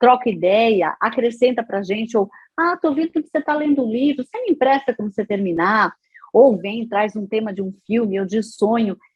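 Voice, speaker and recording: A woman with a fairly high, somewhat breathy voice uses lively intonation and keeps a moderate pace. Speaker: radio announcer and psychologist. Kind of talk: interview answer.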